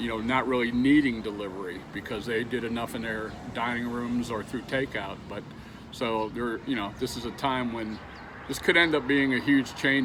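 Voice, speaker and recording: Fairly quick speech with fairly even intonation, audible room echo and noticeable background noise. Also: man. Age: 60s. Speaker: delivery driver. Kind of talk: interview. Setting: outdoors.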